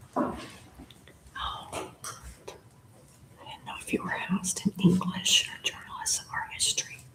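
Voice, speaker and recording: In a whisper, the speaker moves at a fairly slow pace, with long pauses coming often. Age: 70s. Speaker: workshop attendee. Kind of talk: casual chat.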